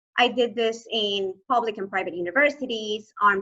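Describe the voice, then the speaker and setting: With a Spanish accent, the speaker talks at a moderate pace with ordinary pitch variation. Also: woman. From Venezuela, Maracaibo. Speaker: human rights lawyer, asylee. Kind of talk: presentation talk.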